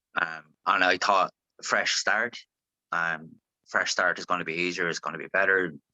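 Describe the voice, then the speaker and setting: A man with an Irish accent speaks at a very deep, low pitch and a moderate pace. His tone is bright and sharp, and the sound is dry and close with no echo. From Ireland, Longford. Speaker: singer-songwriter. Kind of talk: interview. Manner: animated.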